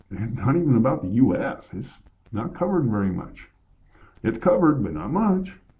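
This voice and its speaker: Amid audible room echo, a man with an American accent speaks at a medium pitch and a fairly quick pace, swinging very widely in pitch and leaving long, frequent pauses. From Colorado, US. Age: 50s. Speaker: vlogger. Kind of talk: casual monologue.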